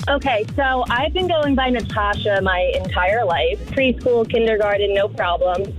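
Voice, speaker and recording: Music plays in the background as the speaker talks at a moderate pace with lively intonation, very even loudness and hardly any pauses. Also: woman, fairly high pitch for a woman. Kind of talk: radio call-in anecdote.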